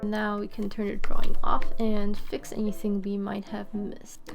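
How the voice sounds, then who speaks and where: Backed by music, a woman talks at an even, moderate speed. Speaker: animator. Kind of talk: tutorial narration while screen recording. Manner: casual, hesitant with pauses.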